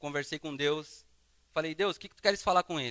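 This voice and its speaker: A man's bright, sharp tone with fairly even intonation, in a dry, close sound with no echo and a very clean recording with a silent background. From southern Brazil, Paraná (Londrina). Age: 30s. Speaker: guest preacher. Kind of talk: sermon with personal testimony. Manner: casual, conversational.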